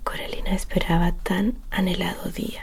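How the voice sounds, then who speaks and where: The speech is soft-spoken and fairly slow. Noticeable background noise can be heard. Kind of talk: bedtime story reading.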